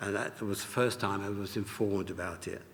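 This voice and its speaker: A man with an English accent, a fairly low pitch and a moderate pace. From England. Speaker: Holocaust survivor. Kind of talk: testimony. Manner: reading aloud from notes.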